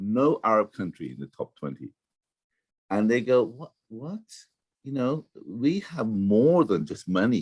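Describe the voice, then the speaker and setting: Very wide pitch swings at a fairly slow pace, with long, frequent pauses and a dry, close sound with no echo. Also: man, medium pitch for a man. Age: 60s. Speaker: professor, blockchain entrepreneur. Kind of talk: interview. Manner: halting, many repetitions.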